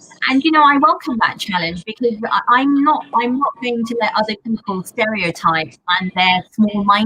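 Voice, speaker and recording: Speaking at a moderate pace with a London accent, the voice has lively intonation. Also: woman. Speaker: pediatrician. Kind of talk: panel discussion. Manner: loud.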